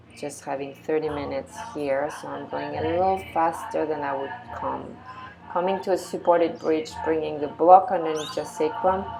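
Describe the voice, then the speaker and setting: Amid noticeable background noise and audible room echo, a woman with a very deep, low pitch speaks at a moderate pace, with ordinary pitch variation and big swings in loudness. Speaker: yoga teacher. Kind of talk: guided yoga class.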